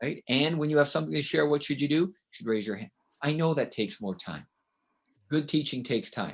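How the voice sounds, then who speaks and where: The speaker has a Canadian accent and ordinary pitch variation. The pace is fairly quick. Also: man, fairly high pitch for a man. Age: 60s. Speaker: author and education consultant. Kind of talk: interview.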